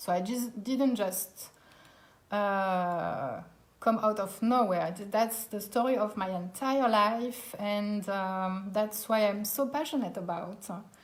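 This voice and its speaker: Audible room echo surrounds a woman speaking very slowly in a French accent. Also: medium pitch for a woman, ordinary pitch variation. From France, Alsace. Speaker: cooking teacher. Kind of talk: live online cooking class. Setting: live stream from home dining room.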